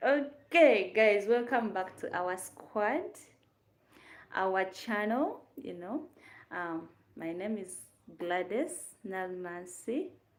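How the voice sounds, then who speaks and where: A very slow pace in a Ugandan accent. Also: woman, very clean recording, silent background. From Uganda, Kampala. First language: Luganda. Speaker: YouTube content creator. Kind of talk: casual livestream chat. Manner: chatty, hesitant with fillers.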